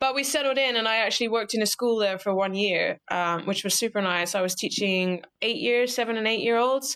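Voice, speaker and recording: With an American accent, a woman speaks at a fairly quick pace with hardly any pauses, her fairly high pitch showing ordinary pitch variation and her loudness very even. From UK. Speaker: scuba diving instructor. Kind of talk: casual interview chat. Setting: podcast interview.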